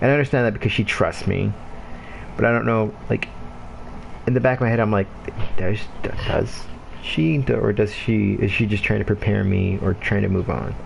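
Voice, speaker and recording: Against noticeable background noise, a man with a fairly low voice speaks in an animated tone at a moderate pace, with ordinary pitch variation, very even loudness and long, frequent pauses. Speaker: gamer livestreamer. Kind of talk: casual chat. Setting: livestream. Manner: rambling, animated.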